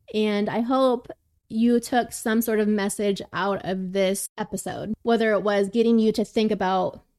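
In a very clean recording with a silent background and a dry, close sound with no echo, a woman with an ordinary speaking voice and fairly high pitch talks at a moderate pace. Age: 20s. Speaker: podcast host. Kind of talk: casual chat.

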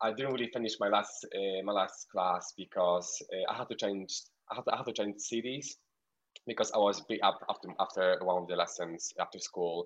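A man with a Polish accent at a moderate pace. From rural Poland, near Ukraine. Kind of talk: casual radio interview.

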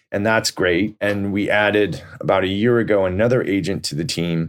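A man's plain, everyday voice with an American accent, fairly low in pitch, fairly slow and fairly even in intonation, in a very clean recording with a silent background. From US West Coast, Silicon Valley. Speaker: real estate broker. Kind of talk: casual interview.

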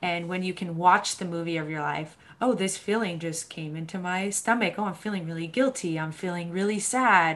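With an American accent, a woman speaks at a moderate pace with hardly any pauses, using an unremarkable speaking voice, fairly low pitch and ordinary pitch variation. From US Northeast, Boston, Massachusetts. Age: 20s. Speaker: mental health advocate. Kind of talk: casual interview chat.

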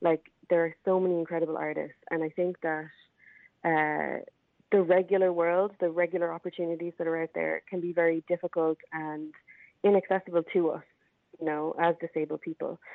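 With an Irish accent, a woman speaks fairly quickly in a monotone, flat way at a fairly low pitch. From Ireland. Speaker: arts festival organiser. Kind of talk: interview. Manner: halting, many fillers.

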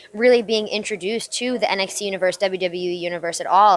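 An unremarkable speaking voice from a woman with an American accent, at a moderate pace and with ordinary pitch variation. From US, New Jersey. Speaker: professional wrestler. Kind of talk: interview. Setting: WrestleMania media day.

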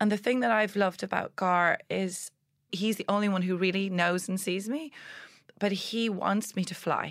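In a very clean recording with a silent background, a woman speaks in an unremarkable speaking voice at a medium pitch with ordinary pitch variation. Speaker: public speaker. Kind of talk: interview.

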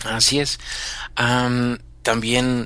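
The man's medium-pitched voice has a bright, sharp tone. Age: 40s. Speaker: mindfulness teacher. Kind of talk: interview. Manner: halting, with many fillers.

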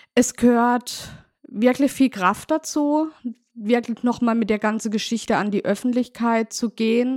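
A woman speaks at a fairly high pitch with ordinary pitch variation. The recording is very clean, with a silent background and a dry, close sound that has no echo. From Baden, southwest Germany (Markgräflerland). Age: 40s. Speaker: daughter of a murder victim. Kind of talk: interview.

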